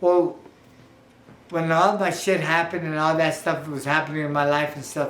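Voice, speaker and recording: A man's fairly high, monotone, flat voice at a moderate pace, with audible room echo. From San Antonio, Texas (west side). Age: 60s. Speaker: retired boxer. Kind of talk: interview testimony. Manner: halting, many fillers.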